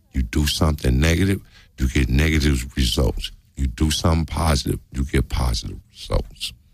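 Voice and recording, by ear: Speaking at a moderate pace, a man has an extremely low pitch, a slightly husky edge, vocal fry and ordinary pitch variation.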